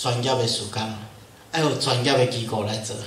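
With a Taiwanese accent, a man talks at a moderate pace over light background noise, and room echo can be heard. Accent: Taiwanese Hokkien. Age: 50s. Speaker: pastor. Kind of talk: lecture. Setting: church. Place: church.

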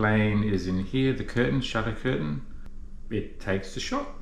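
A moderate pace with audible room echo. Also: man. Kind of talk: tutorial. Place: home room. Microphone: camera far.

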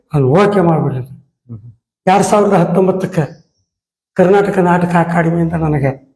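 A man speaks at a high pitch with very even loudness throughout. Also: fairly even intonation. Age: old. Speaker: retired theatre artist. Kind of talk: interview. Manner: halting.

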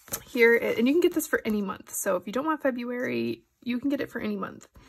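A woman speaks at a fairly high pitch with lively intonation. Her voice is nasal, with vocal fry.

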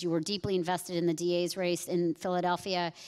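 A woman speaks in a fairly low voice. The background is quiet. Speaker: panel moderator, civil rights advocate; panel moderator. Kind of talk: panel moderation. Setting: stage with audience. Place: stage. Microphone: handheld.

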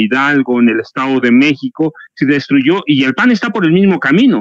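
Speaking at a fairly slow pace with a Mexican accent, a man is heard over a quiet background in a dry sound with no echo. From Mexico. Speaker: journalist and writer; journalist, guest. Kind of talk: political commentary panel. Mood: critical, concerned. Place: home room. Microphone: headset.

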